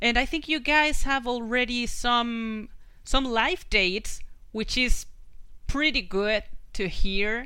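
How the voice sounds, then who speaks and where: Speaking very slowly with a Spanish accent, a woman has a high pitch, ordinary pitch variation and a bright, sharp tone. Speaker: podcast host. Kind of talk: interview.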